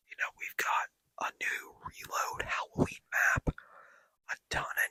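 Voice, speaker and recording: Whispering in a relaxed tone, a man is heard in a dry, close recording with no echo. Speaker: ASMR gaming content creator. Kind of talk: ASMR gameplay commentary. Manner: soft-spoken, relaxed.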